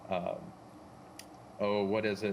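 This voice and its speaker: An American accent at a moderate pace. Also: man. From US South, western Arkansas Ozarks. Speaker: drone simulator team member presenting updates. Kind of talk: casual livestream chat. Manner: casual, filler-heavy.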